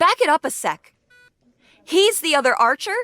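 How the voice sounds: In a put-on character voice, a woman speaks at a high pitch with a bright, sharp tone and big pitch swings, in a dry, close sound with no echo. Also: moderate pace.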